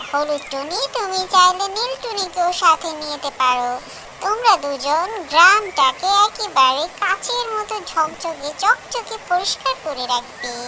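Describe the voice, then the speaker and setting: Against clear background noise, a woman uses a cartoonish character voice at an extremely high pitch and a fairly slow pace. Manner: formal, authoritative.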